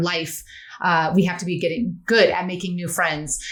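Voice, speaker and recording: A woman speaks at a fairly quick pace. Audible room echo and noticeable background noise are present. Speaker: friendship expert and author. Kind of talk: podcast interview. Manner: fast; animated.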